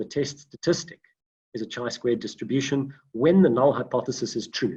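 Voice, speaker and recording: Somewhat breathy, a man speaks at a moderate pace with a fairly high pitch and lively intonation. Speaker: data science lecturer. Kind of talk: online lecture. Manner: halting, many fillers.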